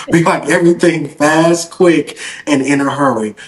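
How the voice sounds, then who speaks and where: Against noticeable background noise, a man with an American accent talks at a moderate pace. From US South, Henderson, North Carolina. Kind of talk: podcast interview.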